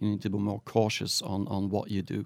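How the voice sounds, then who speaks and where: In a very clean recording with a silent background, a man with a Flemish accent talks at a fairly quick pace. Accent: Belgian (Flemish) English. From Belgium. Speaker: startup founder and managing director. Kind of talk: interview.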